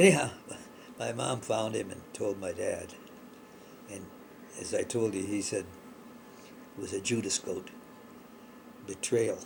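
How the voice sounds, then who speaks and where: A man speaks at a fairly slow pace with long, frequent pauses. Noticeable background noise can be heard. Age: old. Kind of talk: storytelling, personal childhood memory. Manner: casual, hesitant.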